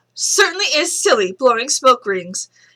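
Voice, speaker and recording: In a put-on character voice, a woman speaks at a moderate pace with a high pitch. Her pitch swings very widely. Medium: read story.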